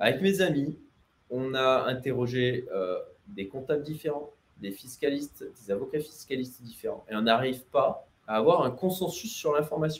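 A man with a somewhat breathy voice speaks at a moderate pace with lively intonation. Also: fairly high pitch for a man. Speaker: entrepreneur and livestreamer. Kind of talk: livestream Q&A about expatriation. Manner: hesitant, many fillers.

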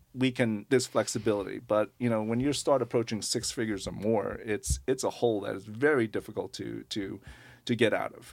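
The speaker has an American accent and an ordinary speaking voice, moving at a moderate pace on a very clean recording with a silent background. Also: man. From US Northeast, Long Island, New York. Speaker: nonprofit lending executive director. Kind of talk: radio interview.

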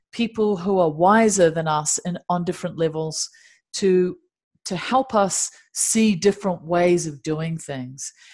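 In a very clean recording with a silent background, a woman speaks at a fairly slow pace and medium pitch, somewhat breathy, with ordinary pitch variation. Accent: New Zealand. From Dunedin, New Zealand. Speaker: meditation teacher and singer-songwriter. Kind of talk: interview conversation.

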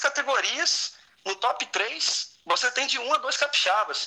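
A man's bright, sharp tone with lively intonation. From Campos, Rio de Janeiro state, Brazil. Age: 20s. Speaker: triathlete and firefighter. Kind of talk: interview.

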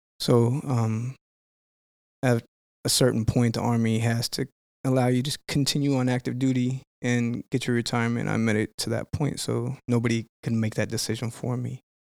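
On a very clean, dry recording with a silent background and no echo, a man speaks at a moderate pace in a medium-pitched voice with flat, monotone intonation. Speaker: retired army veteran.

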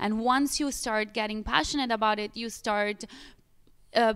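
At a moderate pace with ordinary pitch variation, the voice sits on a very clean recording with a silent background. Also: woman. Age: 30s. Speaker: pilates studio owner. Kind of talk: interview. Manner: animated.

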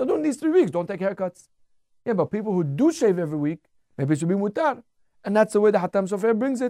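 The recording is very clean, with a silent background. The speech comes at a very fast pace. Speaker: Torah teacher. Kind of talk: live radio lecture. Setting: studio.

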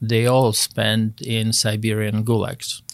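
Recorded very cleanly against a silent background, a man with a Polish accent speaks at a very slow pace in a medium pitch. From Poland, Wrocław. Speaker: retired air force officer. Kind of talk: casual interview, life story.

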